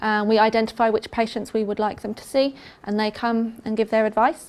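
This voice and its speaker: At a fairly quick pace, a woman with an English accent speaks in a fairly high pitch with monotone, flat intonation and big swings in loudness, on a very clean recording with a silent background. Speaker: pain management nurse specialist. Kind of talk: health talk presentation. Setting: talk to a live audience. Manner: casual, hesitant with frequent ums.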